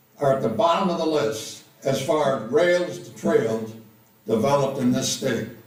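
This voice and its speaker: The speech comes at a fairly slow pace with ordinary pitch variation and audible room echo. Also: man. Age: 80s+. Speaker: retired college teacher, public commenter. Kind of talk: public comment at meeting.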